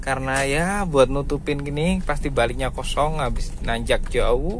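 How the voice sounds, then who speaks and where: A man talks over noticeable background noise. Audible room echo surrounds his voice. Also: fairly slow pace. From East Java, Indonesia. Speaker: ride-hailing driver vlogger. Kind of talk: casual driving vlog. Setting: in a car.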